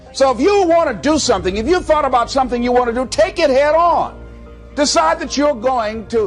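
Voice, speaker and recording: The speaker goes at a fairly slow pace with music playing in the background. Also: man. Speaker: motivational speaker. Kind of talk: motivational speech. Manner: high-energy, dynamic.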